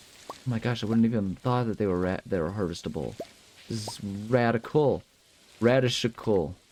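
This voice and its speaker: A man speaks at a fairly quick pace with a fairly low pitch and an animated tone, with noticeable background noise behind him. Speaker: let's play gamer. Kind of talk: casual gameplay commentary.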